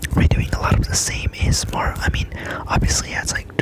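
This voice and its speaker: The voice is a whisper. There is noticeable background noise. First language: Spanish. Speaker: ASMR creator. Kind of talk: ASMR tutorial. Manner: soft-spoken; hesitant, filler-heavy.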